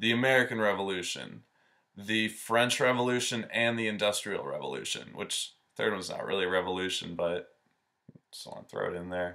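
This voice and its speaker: A man talks with fairly low pitch and a bright, sharp tone. His loudness swings widely. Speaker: astrology video host. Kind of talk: informal explainer video. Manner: monotone; casual with many filler ums.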